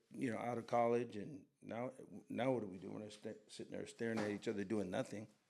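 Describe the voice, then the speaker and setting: With an American accent, a man speaks at a fairly quick pace. He has an unremarkable speaking voice at medium pitch. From Los Angeles area, US. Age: 60s. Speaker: fashion brand co-founder. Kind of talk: casual chat.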